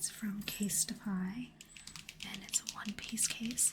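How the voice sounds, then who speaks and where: Soft-spoken and very slow, a woman talks at a medium pitch with fairly even intonation. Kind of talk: ASMR unboxing talk.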